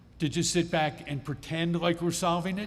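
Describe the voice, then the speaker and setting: With an American accent and audible room echo, a man speaks at a moderate pace in a fairly high voice. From Pennsylvania, Adams County. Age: 60s. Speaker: state legislator. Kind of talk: town hall presentation. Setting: public meeting with audience.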